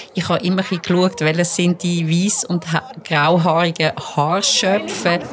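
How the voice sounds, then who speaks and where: Fairly slow, fairly evenly intoned speech from a woman with a fairly low pitch and very even loudness, against noticeable background noise. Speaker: court reporter. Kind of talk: casual chat. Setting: studio.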